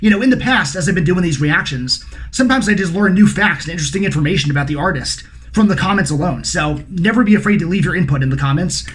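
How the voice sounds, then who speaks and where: With audible room echo, a man speaks at a very fast pace in a high voice with lively intonation. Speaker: music reaction youtuber. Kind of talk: casual vlog intro.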